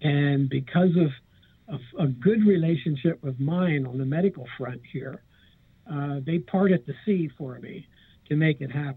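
A man with an unremarkable speaking voice and an American accent talks at a fairly slow pace, his fairly high pitch showing ordinary variation while his loudness swings widely. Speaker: casino entertainment director and author. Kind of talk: casual interview chat.

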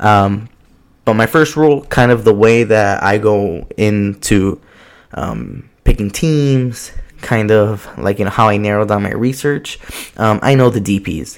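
This man has a Southern Californian accent, a fairly low pitch and ordinary pitch variation. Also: fairly slow pace. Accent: Southern California American. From US West Coast, Southeast Los Angeles. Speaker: soccer podcast host. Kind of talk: casual solo podcast monologue. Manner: casual with many fillers and restarts.

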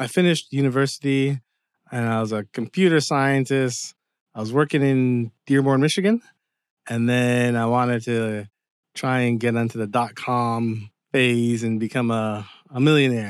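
A man with a normal speaking voice talks at a moderate pace on a very clean recording with a silent background. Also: medium pitch for a man, fairly even intonation, dry, close sound with no echo. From Windsor, Ontario, Canada. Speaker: TV screenwriter. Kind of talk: interview. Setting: at home.

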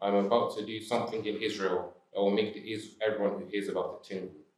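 A man with an ordinary speaking voice talks at a fairly quick pace and fairly low pitch, with fairly even intonation. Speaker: congregation member reading scripture. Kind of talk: reading aloud.

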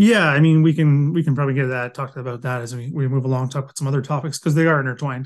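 A man with a Canadian accent talks at a very fast pace and fairly high pitch, keeping his intonation fairly even. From Canada, London, Ontario. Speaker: military historian. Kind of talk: interview.

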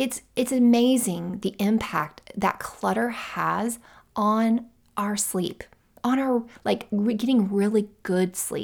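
On a very clean recording with a silent background, a woman speaks very slowly in a warm tone, her fairly high pitch carried by fairly even intonation. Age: 40s. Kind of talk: solo podcast monologue, tips and encouragement. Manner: warm, conversational.

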